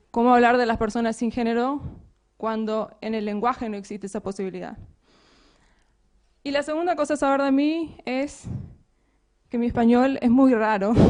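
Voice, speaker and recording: A woman with a high voice talks at a moderate pace. She takes long, frequent pauses, and her pitch varies in an ordinary way. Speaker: software developer and conference speaker. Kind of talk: conference talk.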